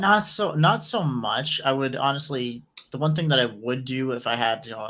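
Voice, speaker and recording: With lively intonation and a moderate pace, a man talks in a plain, everyday voice. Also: medium pitch for a man. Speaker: guest, wiki representative. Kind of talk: casual podcast conversation.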